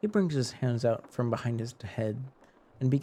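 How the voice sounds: What comes through is a natural reading voice.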